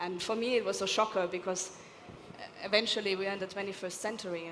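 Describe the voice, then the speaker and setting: A woman speaks at a medium pitch with fairly even intonation. Noticeable background noise is present. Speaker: architect, panelist. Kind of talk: panel discussion. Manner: loud.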